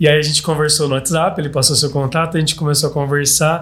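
With noticeable background noise behind him, a man speaks at a fairly high pitch in a monotone, flat intonation. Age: 30s. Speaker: podcast host. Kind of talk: casual interview chat. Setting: studio.

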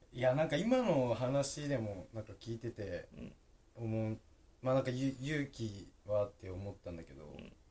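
Somewhat breathy man's voice at medium pitch, with lively intonation, big swings in loudness and a moderate pace. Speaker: podcast host. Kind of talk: interview.

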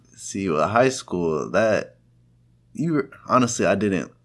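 A man's voice with vocal fry at a fairly slow pace. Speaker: podcast co-host and college student. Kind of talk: casual chat.

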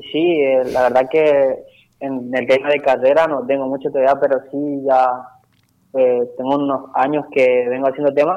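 Speaking at a fairly slow pace, a man uses a fairly high pitch with a dark, mellow tone and monotone, flat intonation. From Itatí, Corrientes, Argentina. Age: 20s. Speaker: trap musician. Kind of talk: radio interview. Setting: phone call.

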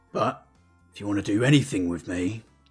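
A man does a put-on character voice that is gruff and fairly low in pitch. He talks at a moderate pace, with faint music in the background. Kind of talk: game master character voice. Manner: gruff, blunt, profane.

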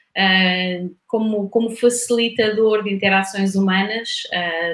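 A woman's medium-pitched voice in a European Portuguese accent, monotone and flat, at a fairly slow pace. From Portugal, Coimbra. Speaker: knowledge management consultant, engineer. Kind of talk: podcast interview.

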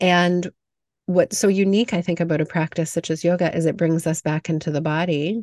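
In a normal speaking voice, the speaker goes at a fairly quick pace with fairly even intonation, the sound dry and close with no echo against a quiet background. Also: woman, fairly low pitch for a woman. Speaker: podcast host and yoga teacher. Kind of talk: casual interview conversation.

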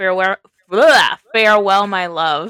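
Dry and close with no echo, a woman's bright, sharp voice sits at a medium pitch and moves at a fairly slow pace. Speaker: podcast host. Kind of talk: casual chat.

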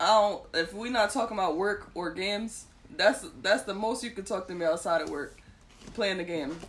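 A woman speaks with a plain, everyday voice at medium pitch. Her pace is moderate and her pitch varies in an ordinary way. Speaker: podcast co-host. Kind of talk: casual chat.

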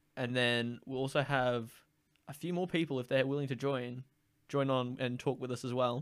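On a very clean recording with a silent background, a man with an Australian accent speaks in a flat monotone at medium pitch and a moderate pace. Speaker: podcast host. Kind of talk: casual chat.

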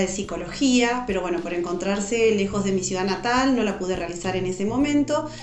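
A woman at a moderate pace with ordinary pitch variation, in a room with audible echo and music in the background. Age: 40s. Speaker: educational psychologist. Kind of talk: interview.

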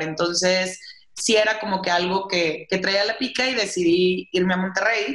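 A woman speaks at a medium pitch and a fairly slow pace. Noticeable background noise and audible room echo fill the recording. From northern Mexico, Saltillo, Coahuila. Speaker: festival brand director. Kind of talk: interview.

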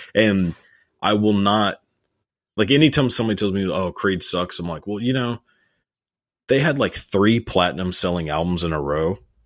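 With a Texan accent, a man with a fairly low voice talks at a moderate pace with lively intonation and long, frequent pauses against a quiet background. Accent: Texan American English. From Texas. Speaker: YouTuber. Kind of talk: casual chat.

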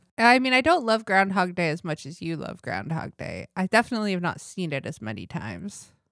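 A woman talks at a fairly quick pace with hardly any pauses and very wide pitch swings, captured in a dry, close sound with no echo on a very clean recording with a silent background. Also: medium pitch for a woman, big swings in loudness. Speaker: podcast co-host. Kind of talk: casual chat. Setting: studio.

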